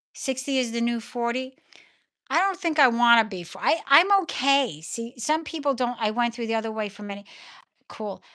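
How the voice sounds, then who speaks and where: Bright and sharp in tone, a woman with a New York accent speaks at a high pitch and a moderate pace with lively intonation. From New York (Brooklyn). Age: 60s. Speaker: livestream host. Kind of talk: casual livestream chat. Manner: halting.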